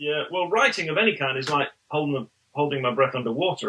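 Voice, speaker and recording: A man with an English accent speaks at a fairly quick pace. His tone is bright and sharp, with ordinary pitch variation. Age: 50s. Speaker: pastor and author. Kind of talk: interview. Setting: podcast interview.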